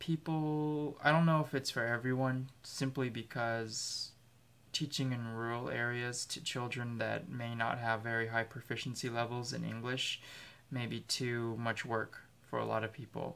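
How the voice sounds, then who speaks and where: On a very clean recording with a silent background, a man with an American accent speaks at a moderate pace and medium pitch, his intonation fairly even. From United States. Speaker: English teacher, video diarist. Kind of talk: video journal monologue. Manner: casual, hesitant with many fillers.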